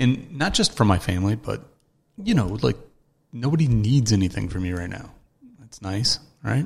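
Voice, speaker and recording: At a moderate pace, the somewhat breathy speech has long, frequent pauses and big swings in loudness. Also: man, fairly low pitch for a man. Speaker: podcast host. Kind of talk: casual solo talk. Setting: at home early morning. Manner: talking quieter than usual; hesitant, many fillers.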